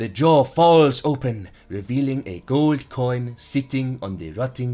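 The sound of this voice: An unforced reading voice, intonation fairly even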